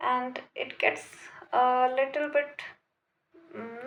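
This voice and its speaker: A woman with a non-native accent and a high pitch, at a very slow pace. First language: not English. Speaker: vlogger. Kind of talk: casual monologue to camera. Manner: hesitant, many fillers.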